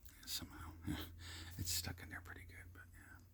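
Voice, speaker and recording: A man is whispering in a relaxed tone. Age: 30s. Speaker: ASMR content creator. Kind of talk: casual ASMR ramble, talking to camera about cards. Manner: relaxed, conversational.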